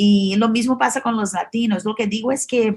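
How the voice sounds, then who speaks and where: Her voice is fairly high and somewhat breathy, and the woman's pitch varies in an ordinary way. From Brazil. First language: Portuguese (speaking Spanish). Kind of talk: interview. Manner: halting, many fillers and restarts.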